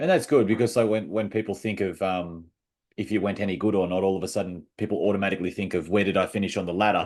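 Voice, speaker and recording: A man with an Australian accent talks at a very fast pace and a fairly low pitch. His intonation stays fairly even against a quiet background. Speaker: podcast host. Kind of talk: casual video interview.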